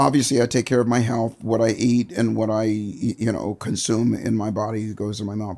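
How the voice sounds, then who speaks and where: Speaking with an American accent, a man uses a fairly low pitch, vocal fry and a dark, mellow tone, keeping fairly even intonation at a moderate pace. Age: 70s. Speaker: motivational speaker. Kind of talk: casual interview.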